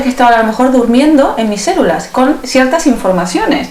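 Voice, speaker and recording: A woman's high-pitched voice with lively intonation, audible room echo and noticeable background noise. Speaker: self-healing method teacher. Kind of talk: interview.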